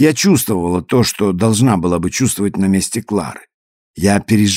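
The background is quiet for this plain reading aloud, where pitch variation is ordinary.

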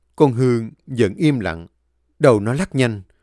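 The pitch varies in an ordinary way throughout this natural reading voice. Behind it, things stay quiet.

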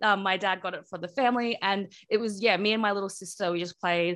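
Talking very fast with an Australian accent, a woman at medium pitch uses ordinary pitch variation over a quiet background. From Australia, Brisbane. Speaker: game studio production director. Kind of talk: interview.

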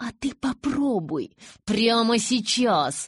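Slowly, a woman does a put-on character voice with big pitch swings and a slightly husky edge, on a very clean recording with a silent background. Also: fairly high pitch for a woman.

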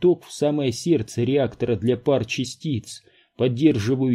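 The passage is read aloud plainly, and its pitch varies an ordinary amount.

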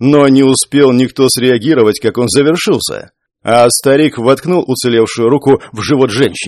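The voice reads in a natural way, its intonation fairly even. Nothing much is heard behind it.

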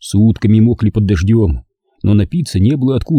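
Someone reads in an unforced reading voice. The background is quiet.

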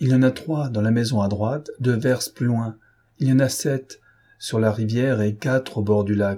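An unforced voice reads the text.

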